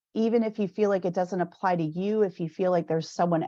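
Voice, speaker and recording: A woman's dark, mellow tone comes through with a quiet background behind it. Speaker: school counselor association officer. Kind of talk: virtual meeting presentation.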